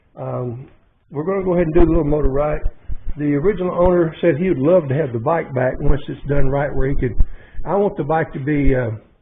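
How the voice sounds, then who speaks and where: A man speaks with an Arkansas accent. His pitch sits fairly high and his pace is fairly quick. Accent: Southern US (Arkansas). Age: 70s. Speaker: motorcycle mechanic YouTuber. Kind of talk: casual workshop vlog. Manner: animated.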